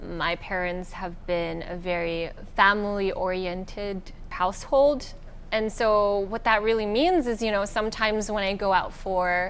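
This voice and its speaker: A medium-pitched female voice, fairly slow, its pitch moving in an ordinary way, with audible room echo around it. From Singapore, early childhood in the Philippines. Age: 20s. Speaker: beauty pageant winner. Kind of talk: interview. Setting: hotel with a view.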